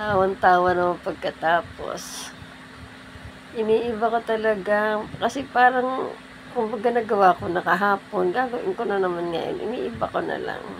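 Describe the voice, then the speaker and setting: Noticeable background noise sits behind this recording. A woman speaks at a fairly high pitch. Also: ordinary pitch variation, moderate pace. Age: 70s. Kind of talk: casual talk to camera.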